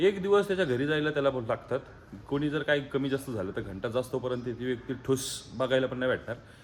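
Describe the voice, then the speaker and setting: A man has a normal speaking voice, medium pitch and ordinary pitch variation. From Maharashtra, Alandi near Pune. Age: 20s. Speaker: dairy farmer and vlogger. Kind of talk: motivational vlog.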